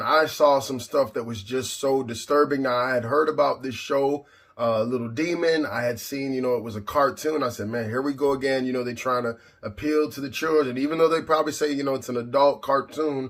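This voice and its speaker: Talking at a fairly quick pace with hardly any pauses, a man keeps a fairly high pitch and fairly even intonation. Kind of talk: religious commentary talk to camera. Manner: indignant, emphatic.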